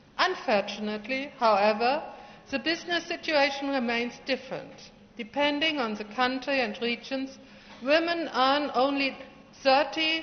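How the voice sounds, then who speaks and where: Ordinary pitch variation at a fairly slow pace. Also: woman. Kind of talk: formal ceremony speech. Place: hall. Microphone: podium.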